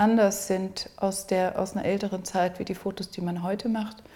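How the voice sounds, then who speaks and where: Somewhat breathy, a woman speaks at a medium pitch with monotone, flat intonation. Her tone is dark and mellow. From South Africa. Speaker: artist. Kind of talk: interview. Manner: halting.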